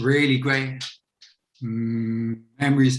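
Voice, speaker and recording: A man with a Dublin accent speaks at a medium pitch. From Dublin, Ireland. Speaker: author. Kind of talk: panel discussion.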